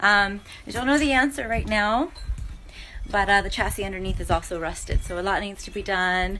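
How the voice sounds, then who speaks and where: The speaker is a woman with an American accent. She keeps a moderate pace. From USA. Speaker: vlogger. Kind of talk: casual vlog.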